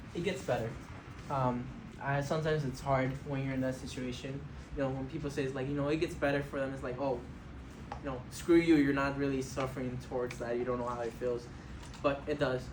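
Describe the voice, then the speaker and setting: A man's medium-pitched voice at a fairly quick pace, flat and monotone, with long, frequent pauses, audible room echo and noticeable background noise. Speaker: college student and former homeless youth. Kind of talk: interview answers to a board. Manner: fast; halting, many fillers.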